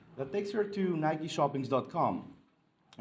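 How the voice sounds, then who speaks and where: There is audible room echo as a man with a fairly high pitch speaks at a moderate pace. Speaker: conference presenter. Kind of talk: conference talk. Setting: stage with audience. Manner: hesitant, many fillers.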